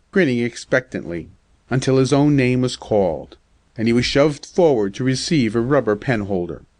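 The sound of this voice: Ordinary pitch variation runs through the clip. The delivery is an unforced reading voice.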